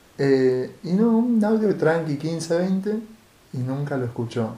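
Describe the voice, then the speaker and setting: At a very slow pace, a man with a dark, mellow tone and a fairly high pitch swings very widely in pitch, with audible room echo. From Argentina, Rosario. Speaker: podcast co-host. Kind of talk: casual chat.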